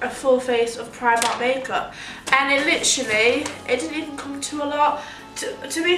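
A woman's raised, projected voice with ordinary pitch variation, audible room echo and faint music in the background. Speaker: beauty vlogger. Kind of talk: casual vlog chat. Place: home room. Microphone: phone near.

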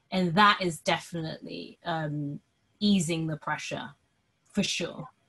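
A woman with a British accent speaks at a very slow pace, her voice fairly low in pitch and somewhat breathy. Her pitch varies in an ordinary way, and the background is quiet. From Britain, Sri Lankan heritage. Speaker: podcast producer and co-host. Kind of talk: casual chat. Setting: video call. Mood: earnest, enthusiastic. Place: home room. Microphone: webcam.

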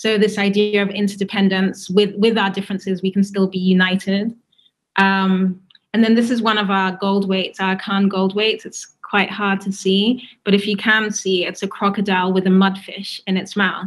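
A woman speaks at a moderate pace in a medium-pitched, somewhat breathy voice. Her intonation is flat and monotone. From Ghana. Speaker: writer and cultural speaker. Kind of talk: prepared talk. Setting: video call. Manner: halting, many fillers. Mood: warm, smiling. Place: home room. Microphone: video call.

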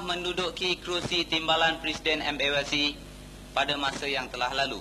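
The man talks at a fairly slow pace with ordinary pitch variation. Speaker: event emcee introducing the speaker. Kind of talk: formal introduction.

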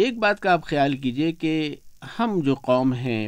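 A man's voice with very wide pitch swings, dry with no echo, against a quiet background. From Rajshahi, former East Pakistan. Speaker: retired radio broadcaster. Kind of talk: radio interview. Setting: radio studio. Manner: cheerful.

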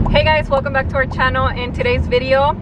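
The pace is fairly quick. Loud background noise fills the dry recording, which has no echo. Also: woman. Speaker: vlogger. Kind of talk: casual vlog chat. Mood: cheerful, chatty. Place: car. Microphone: phone near.

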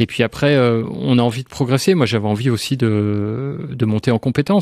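A man's dark, mellow voice at a fairly quick pace, dry with no echo, over a quiet background. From France, Nancy area; France. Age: 40s. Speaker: museum director; radio guest. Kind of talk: radio interview. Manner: halting. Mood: calm, relaxed. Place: studio. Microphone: studio mic.

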